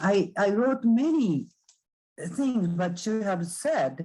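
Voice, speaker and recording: Here is a woman with a medium pitch and a somewhat breathy sound. Her pitch swings very widely. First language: non-English. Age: 60s. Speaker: adult student. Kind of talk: casual remarks. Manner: halting.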